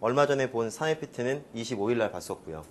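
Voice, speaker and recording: This man keeps a fairly quick pace, his medium-pitched voice showing ordinary pitch variation. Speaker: organic chemistry instructor. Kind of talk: lecture. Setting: classroom with students.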